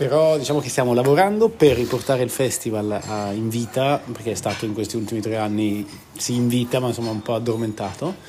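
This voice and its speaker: Talking at a very fast pace, a man with a medium pitch and ordinary pitch variation comes through over noticeable background noise. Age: 40s. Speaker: cultural association organizer. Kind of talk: interview. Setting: outdoors. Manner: halting.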